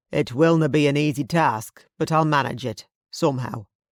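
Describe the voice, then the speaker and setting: Growling in a put-on character voice, a man speaks at a moderate pace with a fairly high pitch. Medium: read story.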